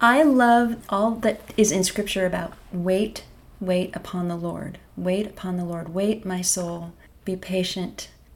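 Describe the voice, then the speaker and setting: A woman's unremarkable speaking voice with an American accent, medium pitch, ordinary pitch variation and a fairly slow pace. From US Pacific Northwest, Bellingham, Washington. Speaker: pianist and garden center worker. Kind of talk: faith testimony interview.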